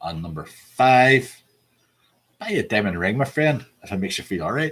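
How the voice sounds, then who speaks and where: At a moderate pace, a man with an American accent talks at medium pitch, with vocal fry. His pitch swings very widely. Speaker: pub quiz host. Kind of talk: quiz hosting, reading out song lyrics.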